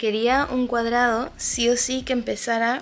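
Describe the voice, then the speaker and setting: Speaking at a fairly slow pace, a woman keeps her fairly high voice in a flat monotone. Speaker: crochet designer and vlogger. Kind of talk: casual vlog. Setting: at home. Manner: soft-spoken.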